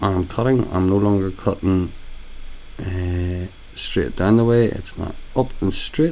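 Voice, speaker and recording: A man with a very deep, low pitch and a dark, mellow, relaxed tone talks at a fairly slow pace with ordinary pitch variation and long, frequent pauses. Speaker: hairdresser. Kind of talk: haircut tutorial voiceover. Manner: casual, relaxed.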